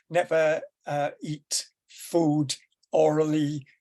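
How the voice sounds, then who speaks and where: A man with a Welsh accent and a fairly high pitch. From Wales. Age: 70s. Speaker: educator on deaf-blindness. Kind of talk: presentation. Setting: video call from bedroom.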